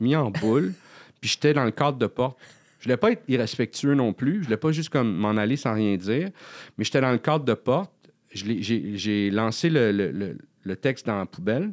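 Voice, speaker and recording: A man with a medium pitch talks at a moderate pace with lively intonation and long, frequent pauses. The sound is dry and close with no echo, in a very clean recording with a silent background. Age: 40s. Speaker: comedian. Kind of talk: casual chat. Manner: halting.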